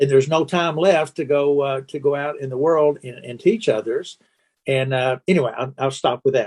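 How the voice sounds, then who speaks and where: A fairly high-pitched man with a Kentucky accent, moderate pace, ordinary pitch variation and big swings in loudness. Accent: US Southern (Kentucky). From Kentucky (Owensboro). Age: 70s. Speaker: podcast host, church evangelism. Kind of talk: interview conversation. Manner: halting, many fillers and repeats.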